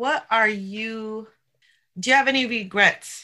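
A woman with an American accent speaks at a fairly slow pace, her tone bright and sharp and her pitch fairly high. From New York. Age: 50s. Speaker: podcast host. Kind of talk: interview.

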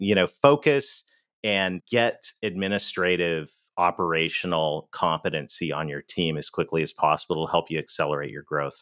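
In a Canadian accent, this voice sounds enthusiastic and animated, with ordinary pitch variation and a dry, close sound with no echo. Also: man, very deep, low pitch for a man, moderate pace, very clean recording, silent background. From Canada. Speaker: business author and sales consultant. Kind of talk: interview. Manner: enthusiastic, animated.

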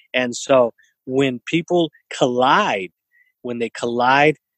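A man's medium-pitched voice with an American accent, dry and close with no echo. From US West Coast, East San Jose, California. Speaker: entrepreneur and event organizer. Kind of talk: interview conversation.

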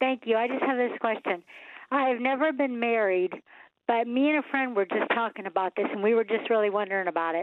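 With an American accent and a normal speaking voice, the woman talks at a fairly quick pace, her fairly high pitch showing ordinary variation. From US Midwest, Ohio. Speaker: caller. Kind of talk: phone-in question. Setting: phone call.

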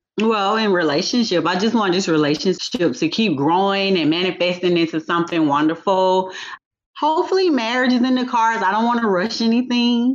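A woman with an American accent and an ordinary speaking voice talks at a fairly quick pace and medium pitch, her intonation lively and her loudness very even. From US South, Atlanta area, Georgia. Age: 40s. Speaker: pharmacy technician and massage therapist. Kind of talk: interview.

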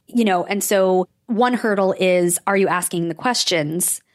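This woman has an ordinary speaking voice at medium pitch with an American accent and fairly even intonation. The recording is very clean, with a silent background. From New York, Rockland County. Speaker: trauma therapist. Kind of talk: interview.

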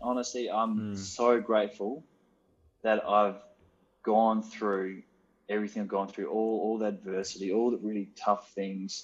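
A man talks at a moderate pace with an Australian accent. His pitch sits in the medium range. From Western Australia. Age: 20s. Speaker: business owner, former footballer. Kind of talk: interview. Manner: hesitant, many fillers.

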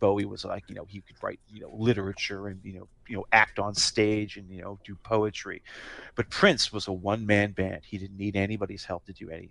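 Against a quiet background, a man with a plain, everyday voice and fairly low pitch speaks at a fairly quick pace with big swings in loudness. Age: 40s. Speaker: podcast co-host. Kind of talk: casual chat.

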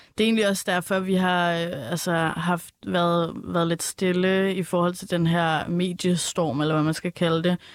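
Over a very clean recording with a silent background, a woman uses a normal speaking voice at fairly low pitch, moving at a fairly slow pace with hardly any pauses and fairly even intonation. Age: 20s. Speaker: educator, communications consultant. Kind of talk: casual chat.

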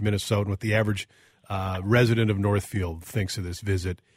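Speaking at a fairly quick pace, a man has a somewhat breathy voice. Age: 40s. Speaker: radio talk show co-host. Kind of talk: casual call-in talk radio chat. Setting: radio studio.

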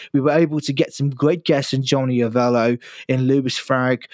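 With a British accent, a man speaks at a medium pitch with fairly even intonation. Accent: British-sounding English. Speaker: podcast host; future US Air Force member. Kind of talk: casual chat.

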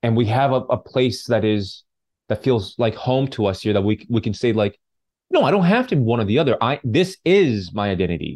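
A man with a Canadian accent and a plain, everyday voice talks fairly quickly at medium pitch, his intonation lively and his loudness very even, against a quiet background. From British Columbia, Canada (Vancouver suburbs and Vancouver Island). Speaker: filmmaker and actor. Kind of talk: interview conversation.

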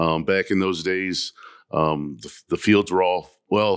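A man with an American accent, very deep and low in pitch, at a fairly slow pace, in a dry, close sound with no echo on a very clean recording with a silent background. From Ohio. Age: 60s. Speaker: farmer and dog breeder. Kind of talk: casual interview. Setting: live recording at a dog event.

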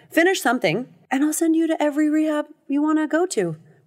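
In a Californian accent, a woman talks at a fairly quick pace on a very clean recording with a silent background. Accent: Californian American English. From Los Angeles, US West Coast. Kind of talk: casual interview about addiction recovery. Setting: podcast studio booth.

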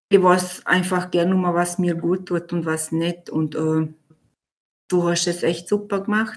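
A woman with a medium-pitched voice speaks fairly slowly. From Vorarlberg, Austria. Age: 30s. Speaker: coaching client. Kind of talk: testimony. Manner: halting.

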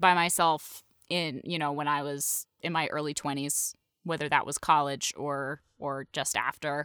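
A woman with an American accent speaks at a fairly slow pace in a bright, sharp tone, the sound dry and close with no echo on a very clean recording with a silent background. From New England, US (western Massachusetts). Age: 30s. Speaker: podcast host and voice actor. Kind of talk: casual chat.

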